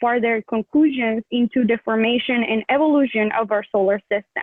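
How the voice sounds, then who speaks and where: A woman with a non-native accent, high in pitch, at a fairly slow pace. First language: not English. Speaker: student research presenter. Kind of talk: presentation. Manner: halting.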